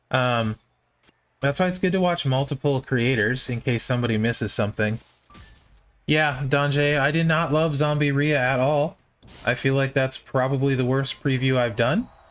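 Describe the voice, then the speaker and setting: With music in the background, a man in an American accent speaks at a moderate pace and very even loudness. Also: medium pitch for a man. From US Midwest (Minnesota). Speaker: game streamer. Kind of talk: live stream commentary. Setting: live stream. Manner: monotone; mellow.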